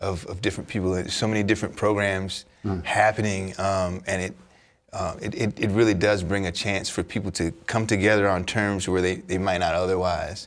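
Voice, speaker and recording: Using a plain, everyday voice, a man speaks at a moderate pace with a fairly low pitch. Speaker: guest, farm program educator. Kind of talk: interview answer. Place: studio. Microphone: lapel.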